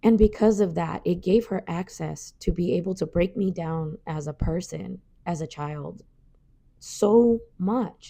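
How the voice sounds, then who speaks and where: Speaking at a fairly slow pace, a woman has a fairly low pitch, ordinary pitch variation, a dark, mellow tone and vocal fry. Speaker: podcast host. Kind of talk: personal storytelling monologue.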